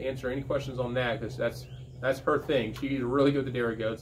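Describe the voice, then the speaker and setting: A man's voice amid noticeable background noise. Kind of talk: casual vlog chat. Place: workshop. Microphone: camera far.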